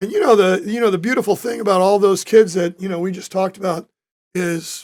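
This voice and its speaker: At a fairly quick pace, a man with a high pitch speaks in fairly even intonation. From US Midwest (Joliet, Illinois). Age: 60s. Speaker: retired high school coach and author. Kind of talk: casual interview.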